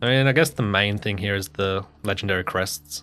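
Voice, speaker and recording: The speaker has an Australian accent and talks at a moderate pace with ordinary pitch variation. The recording is very clean, with a silent background. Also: man. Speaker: gaming streamer. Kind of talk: live stream gameplay commentary. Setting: live stream. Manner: casual, conversational.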